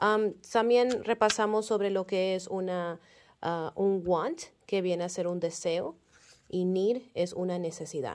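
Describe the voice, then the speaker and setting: With ordinary pitch variation, a woman delivers her words at a very slow pace. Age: 30s. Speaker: kindergarten teacher. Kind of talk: class update for parents. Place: classroom. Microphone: phone near.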